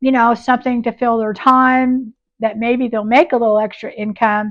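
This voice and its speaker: A woman talks at a moderate pace in a fairly high voice, her intonation monotone and flat. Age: 60s. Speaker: YouTuber and upcycling booth seller. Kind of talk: casual vlog talk to camera. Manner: conversational with many fillers.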